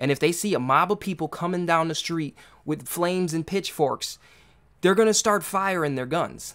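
The man's voice sits high in pitch, with ordinary pitch variation. He keeps a moderate pace against a quiet background. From US, urban neighborhood. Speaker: podcast host. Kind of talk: solo commentary monologue. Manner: halting, many repetitions and fillers. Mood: concerned, earnest. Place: home room.

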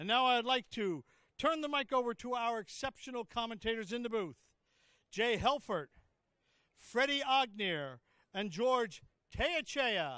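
At an extremely high pitch, a man uses a raised, projected voice with lively intonation, a fairly slow pace and long, frequent pauses, in a dry sound with no echo. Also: quiet background. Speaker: arena announcer. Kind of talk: formal introduction announcement. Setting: PA system in arena. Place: hall. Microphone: handheld.

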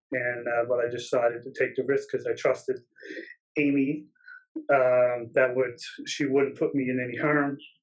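Against a quiet background, a man with a Newfoundland accent talks at a moderate pace with long, frequent pauses. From Newfoundland, Canada. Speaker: photographer; interview guest. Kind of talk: interview. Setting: video call. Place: office. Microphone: webcam.

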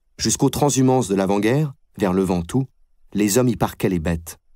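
Recorded very cleanly against a silent background, a man speaks in a dark, mellow tone with ordinary pitch variation. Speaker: audiobook narrator. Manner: steady, unhurried, even-paced literary delivery.

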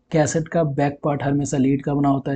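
A man at a fairly quick pace, fairly high in pitch, with a dark, mellow tone and a slightly husky edge.

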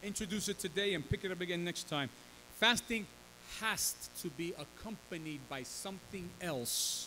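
A man's high voice at a fairly slow pace, with ordinary pitch variation and light background noise. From New York City, Bronx (Puerto Rican family). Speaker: pastor. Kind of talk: sermon with live interpreter. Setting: church. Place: church. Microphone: podium.

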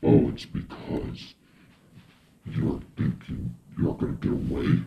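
Over light background noise, a man growls in a put-on, menacing character voice with a very deep, low pitch and a fairly slow pace. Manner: menacing, mocking.

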